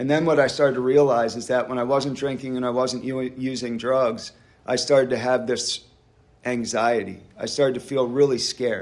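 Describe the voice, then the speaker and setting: A man with an American accent speaks at a moderate pace and a medium pitch. His intonation is flat and monotone, with audible room echo. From US, Pennsylvania (Doylestown area). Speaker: recovering alcoholic speaker. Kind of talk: recovery meeting testimony. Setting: church hall meeting with audience.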